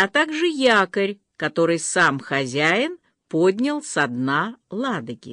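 An unforced reading voice carries the clip. Nothing stirs in the background.

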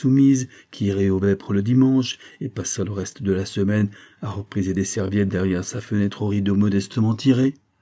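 The speaker reads in a natural reading voice, and the pitch shifts in an ordinary way.

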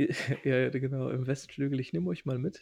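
The man's voice is fairly high yet dark and mellow in tone, somewhat breathy. He speaks at a moderate pace. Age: 30s. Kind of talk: casual chat.

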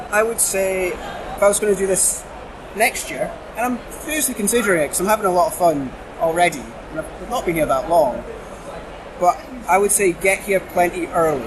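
A man with a Shetland accent speaks in a high voice at a fairly quick clip, his intonation lively and his pauses long and frequent, over noticeable background noise. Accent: Scottish (Shetland). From Shetland, Scotland. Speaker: convention volunteer. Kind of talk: casual chat. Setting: convention venue.

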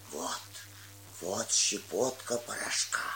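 Faint music plays in the background as a put-on character voice moves slowly, with a bright, sharp tone, vocal fry and ordinary pitch variation.

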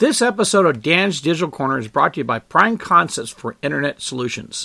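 A man with an American accent speaks at a fairly high pitch with very wide pitch swings, vocal fry and a bright, sharp tone. The very clean recording has a silent background and a dry, close sound with no echo. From Apple Valley, California. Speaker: podcast host. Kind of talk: solo monologue podcast. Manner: halting, many fillers.

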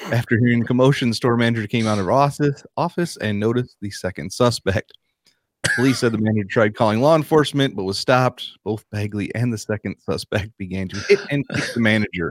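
A man speaks in an unremarkable speaking voice at medium pitch and a fairly quick pace with ordinary pitch variation. The recording is very clean, dry and close with no echo and a silent background. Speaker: podcast co-host and audio board operator. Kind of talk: casual banter reading news stories.

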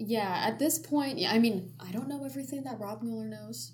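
Background noise is noticeable. A woman is the one talking. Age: 20s. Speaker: student podcast host. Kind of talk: casual chat.

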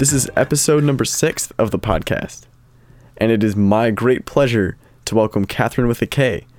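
A man with a normal speaking voice talks at a moderate pace and medium pitch, his loudness very even and his pitch variation ordinary. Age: young. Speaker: podcast host. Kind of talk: scripted introduction; casual chat.

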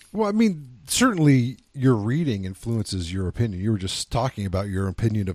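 In an unremarkable speaking voice, a man talks at a fairly quick pace with ordinary pitch variation. The recording is very clean, with a silent background. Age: 30s. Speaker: film review podcast host. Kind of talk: casual chat.

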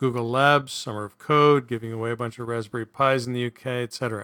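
With an ordinary speaking voice at medium pitch, a man talks at a moderate pace and fairly even intonation, in a very clean recording with a silent background and a dry, close sound with no echo. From Canada. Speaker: podcast host. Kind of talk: casual chat.

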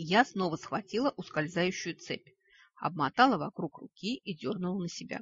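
An unforced reading voice against a quiet background

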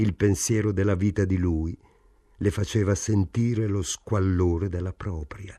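The speaker reads in an unforced reading voice. Intonation remains fairly even throughout.

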